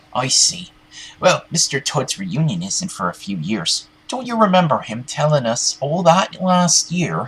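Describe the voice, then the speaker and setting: The voice is an obvious put-on character. Its pitch lands in the middle range. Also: moderate pace. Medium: machinima. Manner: calm, gently reassuring.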